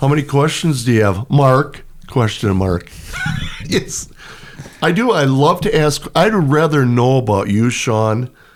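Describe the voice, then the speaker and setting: In a plain, everyday voice, a man speaks at a medium pitch and a fairly slow pace, with lively intonation and very even loudness. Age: 60s. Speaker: retired PE teacher and pole vault coach. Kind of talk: casual chat.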